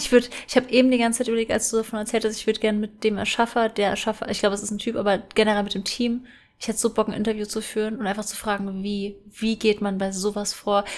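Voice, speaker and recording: A woman talks at a very fast pace. Her fairly high pitch stays monotone and flat. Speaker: podcast co-host. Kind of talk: casual chat.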